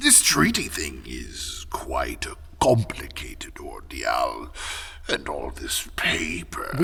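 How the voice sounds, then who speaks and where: A man whispers at a very slow pace. He uses a put-on character voice. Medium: audio drama. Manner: polite, measured.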